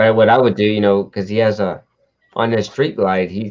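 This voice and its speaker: A man with a Southern US accent, fairly low-pitched, at a moderate pace. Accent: Southern twang. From Texas, Houston. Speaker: motorcycle show host. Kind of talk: casual chat. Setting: live stream.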